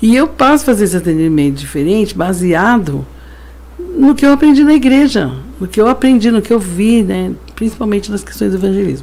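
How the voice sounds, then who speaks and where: A woman speaks fairly quickly, her pitch swinging very widely. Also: medium pitch for a woman. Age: 60s. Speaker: pastor and social worker. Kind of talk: interview testimony. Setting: studio.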